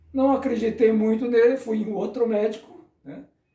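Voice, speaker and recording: A man speaks at a fairly slow pace with a high pitch. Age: 60s. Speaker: catechist. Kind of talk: personal testimony. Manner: casual, conversational.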